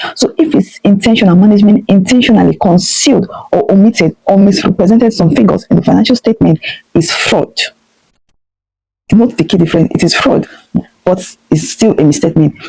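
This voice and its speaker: A woman speaks at a fairly quick pace and medium pitch, her tone dark, mellow and somewhat breathy. Her intonation is lively and her loudness very even. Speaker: audit tutor. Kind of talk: tutorial. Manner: fast.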